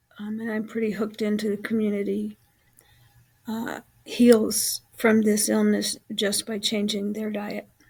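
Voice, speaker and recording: A woman with a fairly high, somewhat breathy voice talks at a fairly slow pace in a monotone, flat intonation. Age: 70s. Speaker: health vlogger with chronic illness. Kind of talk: casual vlog monologue. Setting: at home. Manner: halting, many filler words.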